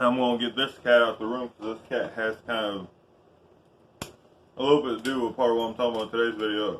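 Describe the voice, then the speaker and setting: A man with an American accent speaks very fast at a medium pitch, in a monotone, flat intonation with long, frequent pauses. His loudness swings widely, and there is noticeable background noise. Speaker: YouTuber reviewing tools. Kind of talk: casual vlog tool review.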